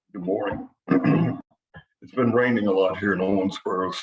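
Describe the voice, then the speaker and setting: A man puts on a raspy character voice, fairly low in pitch, with monotone, flat intonation. He speaks at a moderate pace, and his loudness swings widely. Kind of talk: professional, speaking to colleagues.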